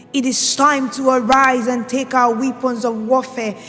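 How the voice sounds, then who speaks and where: Against music in the background, a woman speaks at a high pitch in a monotone, flat intonation. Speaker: spoken word poet. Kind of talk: spoken word poetry performance. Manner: impassioned, declamatory.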